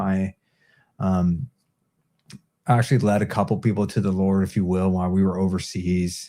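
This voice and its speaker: A man with a Californian accent and a dark, mellow tone, moderate pace, very clean recording with a silent background. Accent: General American (Californian). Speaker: Marine veteran. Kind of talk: casual interview chat. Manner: casual, filler-heavy.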